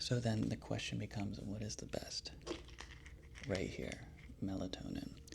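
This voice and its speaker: Soft-spoken and relaxed in tone, a man talks at a moderate pace. He leaves long, frequent pauses. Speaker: pharmacist. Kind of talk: casual review talk to camera. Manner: soft-spoken, relaxed.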